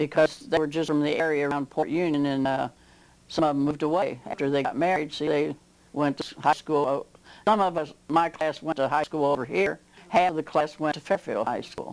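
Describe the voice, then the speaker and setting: A woman speaks with an American accent in a very deep, low pitch. Her pace is fairly quick and her intonation fairly even. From southwest Ohio. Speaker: local elder interviewee. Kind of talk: oral history interview. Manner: halting.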